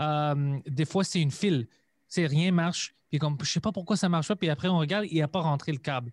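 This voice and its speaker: At a fairly quick pace and very even loudness, a man with a non-native accent speaks in a dry, close sound with no echo on a very clean recording with a silent background. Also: fairly high pitch for a man, ordinary pitch variation. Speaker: comedian and podcaster. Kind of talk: casual chat.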